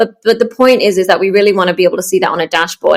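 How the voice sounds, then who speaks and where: Speaking very fast with an Australian accent, a woman keeps her medium-pitched voice fairly even in intonation. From Australia, Melbourne. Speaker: startup founder. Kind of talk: interview.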